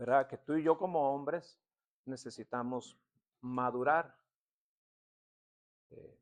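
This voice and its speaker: Very slowly, a man speaks at a fairly high pitch with fairly even intonation, long, frequent pauses and big swings in loudness. The sound is dry and close, with no echo. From Tecate, Baja California, Mexico. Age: 60s. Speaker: pastor. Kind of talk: sermon. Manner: conversational, with filler words.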